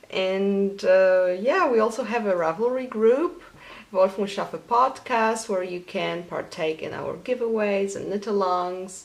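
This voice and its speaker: The pace of this woman's speech is fairly slow. She talks with a Polish accent. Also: medium pitch for a woman, ordinary pitch variation. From Poland. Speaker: knitting podcaster. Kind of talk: casual vlog.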